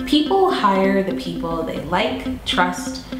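A woman's voice carries audible room echo. Clear music plays in the background. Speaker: video production business owner. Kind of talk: promotional pitch to camera. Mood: warm, upbeat. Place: studio.

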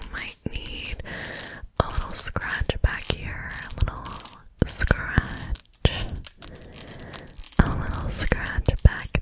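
A woman talks at a very slow pace, leaving long, frequent pauses. Loud background noise fills the recording. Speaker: ASMR creator. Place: home room. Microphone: phone near.

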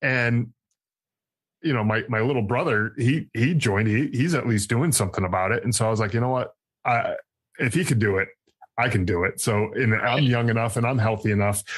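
Speaking at a fairly quick pace with an American accent, a man has a medium-pitched, somewhat breathy voice, ordinary pitch variation and very even loudness. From Connecticut. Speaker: army veteran, podcast host and author. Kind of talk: interview, personal testimony. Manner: halting, many fillers and repeated words.

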